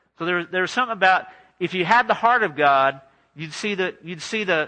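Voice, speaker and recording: In an American accent, a man with a high pitch and a bright, sharp tone projects a raised voice, talking at a fairly quick pace with lively intonation. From Southern California, LA area. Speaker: pastor. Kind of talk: sermon.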